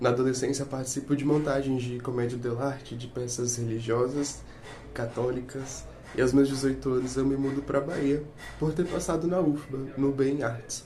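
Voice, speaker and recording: Over noticeable background noise and audible room echo, a man speaks at a medium pitch and moderate pace in a flat, monotone delivery. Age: 20s. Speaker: actor, theatre student. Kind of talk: self-introduction interview.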